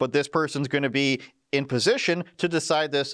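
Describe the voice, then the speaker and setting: A man with a Canadian accent talks at a very fast pace in an animated tone. His pitch is medium and the background is quiet. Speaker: political commentary host. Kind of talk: live stream political chat. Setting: studio. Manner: joking, animated.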